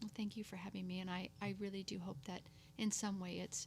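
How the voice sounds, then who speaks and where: With a somewhat breathy voice at medium pitch, a woman speaks at a fairly quick pace and with fairly even intonation. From local to the host's area. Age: 50s. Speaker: abuse survivor and entrepreneur. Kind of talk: testimony.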